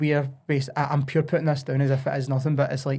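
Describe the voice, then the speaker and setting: A man with a Glaswegian accent at a very fast pace, a dark, mellow, somewhat breathy tone, monotone, flat intonation, and a very clean recording with a silent background. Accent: Glaswegian Scottish. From Scotland, Glasgow East End. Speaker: singer and entertainer. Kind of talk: casual chat.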